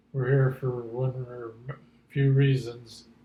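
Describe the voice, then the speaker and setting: A man with an American accent has a medium pitch and a dark, mellow tone that is somewhat breathy. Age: 70s. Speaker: grandfather interviewed about his life. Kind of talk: oral history interview. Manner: halting.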